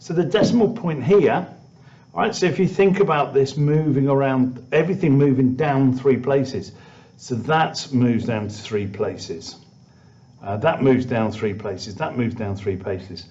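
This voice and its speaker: Audible room echo surrounds a man with a British accent. His somewhat breathy voice has very wide pitch swings. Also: medium pitch for a man, moderate pace. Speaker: maths teacher. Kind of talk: tutorial.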